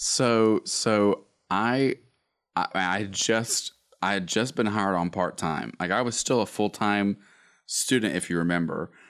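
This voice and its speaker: A man with an Alabama accent, fairly low-pitched and fairly slow, with ordinary pitch variation, on a very clean recording with a silent background. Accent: Southern US (Alabama). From US South, Northeast Alabama. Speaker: worship pastor. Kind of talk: casual chat.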